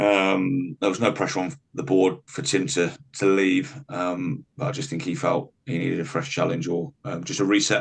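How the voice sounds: At a moderate pace, a man speaks low with vocal fry and little pitch movement.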